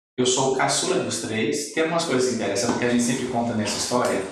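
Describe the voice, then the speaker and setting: A man is speaking. Room echo can be heard around him. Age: 50s. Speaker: ophthalmologist. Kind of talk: interview.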